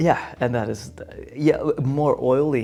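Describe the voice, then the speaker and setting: Noticeable background noise accompanies a man speaking with a Dutch accent. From Netherlands. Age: 30s. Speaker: vlogger. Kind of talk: casual chat. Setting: indoors on a couch. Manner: laid-back, halting.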